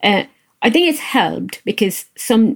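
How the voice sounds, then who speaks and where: A woman speaks with vocal fry. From India. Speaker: software engineering manager. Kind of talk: interview podcast. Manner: hesitant, many fillers.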